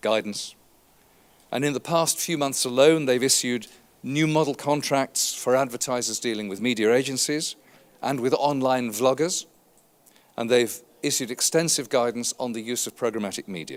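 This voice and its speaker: Moderate pace and ordinary pitch variation from a man at a medium pitch. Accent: British. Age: 60s. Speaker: advertising industry consultant. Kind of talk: conference keynote speech.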